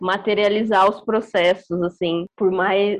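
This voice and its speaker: An ordinary speaking voice from a woman at medium pitch, with a fairly slow pace and fairly even intonation. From Brazil, interior of Mato Grosso do Sul. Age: 20s. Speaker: beatmaker. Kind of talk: casual discussion.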